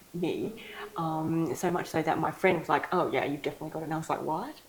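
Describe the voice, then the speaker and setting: Speaking at a very fast pace in an Australian accent, a woman with a fairly low pitch keeps a fairly even intonation over noticeable background noise. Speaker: ADHD coach. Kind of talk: interview. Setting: clinic.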